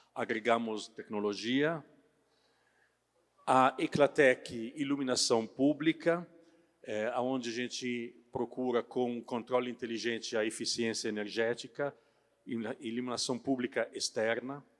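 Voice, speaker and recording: A man's medium-pitched voice with a non-native accent, fairly slow and fairly even in intonation. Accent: foreign accent in Portuguese. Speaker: company sales director. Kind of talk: trade fair talk. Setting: stage with audience. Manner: halting, many filler sounds.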